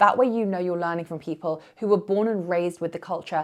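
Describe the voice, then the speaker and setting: Against a quiet background, a woman with a British accent talks at a very fast pace. Her pitch sits fairly low, with fairly even intonation. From UK, Indian heritage. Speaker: yoga teacher. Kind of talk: vlog to camera.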